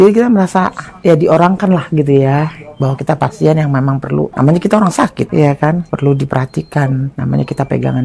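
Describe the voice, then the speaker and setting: A woman talks at a very fast pace. Noticeable background noise can be heard. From Indonesia, Bogor (West Java). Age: 60s. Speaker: patient. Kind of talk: patient testimony. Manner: casual, conversational.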